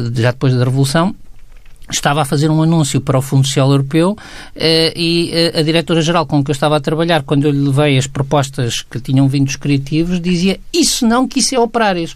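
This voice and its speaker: This man's pitch sits fairly high as he rattles along very fast. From Portugal, Aveiro. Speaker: sociologist, resident commentator. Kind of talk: radio commentary discussion. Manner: halting, many fillers.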